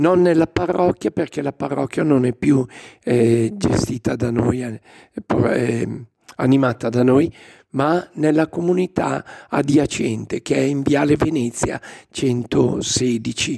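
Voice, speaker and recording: A man speaks very slowly at a medium pitch, his dark, mellow tone showing ordinary pitch variation in a dry, close sound with no echo. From Lombardy, Legnano near Milan. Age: 60s. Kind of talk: interview.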